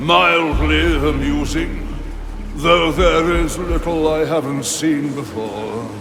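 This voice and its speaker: A man puts on a character voice and speaks at a very slow pace. The recording has a clear echo and loud background noise. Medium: machinima. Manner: condescending, aloof.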